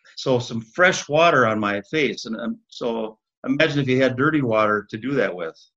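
Speaking with an Upper Midwest accent at a moderate pace, a man has a medium-pitched, bright, sharp tone and ordinary pitch variation. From Minneapolis, Minnesota. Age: 60s. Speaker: former county commissioner. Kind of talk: interview, personal storytelling.

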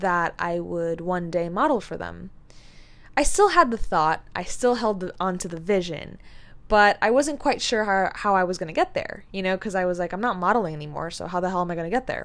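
In a very clean recording with a silent background, an ordinary speaking voice moves at a fairly quick pace with ordinary pitch variation. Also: woman, medium pitch for a woman. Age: 20s. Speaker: podcast host and life coach. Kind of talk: casual solo monologue.

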